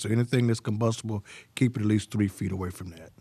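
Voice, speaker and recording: This man speaks very fast in a Southern US accent, his pitch fairly low and his intonation fairly even. His tone is dark and mellow, and the sound is dry and close with no echo. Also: quiet background. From Arkansas (Pine Bluff). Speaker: fire chief. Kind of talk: interview on fire safety.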